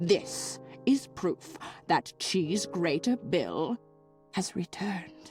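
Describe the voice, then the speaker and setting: Using a put-on character voice at a fairly low pitch, a woman talks at a very slow pace with long, frequent pauses while faint music plays in the background. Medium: video game. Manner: fussy, calls everyone dearie.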